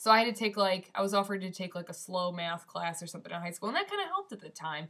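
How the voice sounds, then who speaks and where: Over noticeable background noise, a woman with a Midwestern accent talks very fast at a medium pitch, her intonation fairly even but her loudness swinging widely. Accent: Midwestern twang. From US Midwest (Michigan). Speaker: vlogger. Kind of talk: casual vlog. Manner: casual, filler-heavy.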